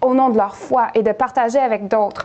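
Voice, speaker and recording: High pitch from a woman, varying in an ordinary way. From Quebec, Montreal. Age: 30s. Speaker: nurse. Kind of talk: testimony. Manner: halting, many hesitations.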